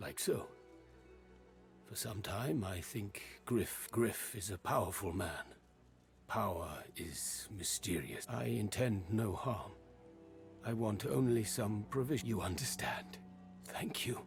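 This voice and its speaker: Using a put-on character voice, a man talks at a fairly slow pace with a fairly low pitch and long, frequent pauses, while clear music plays in the background. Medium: video game. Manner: formal, measured speech without contractions.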